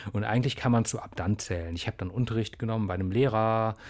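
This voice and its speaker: Fairly low in pitch, a man speaks at a fairly quick pace. The recording is very clean, with a silent background. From Bonn, Germany, partly raised abroad. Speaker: musician. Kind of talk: interview. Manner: halting.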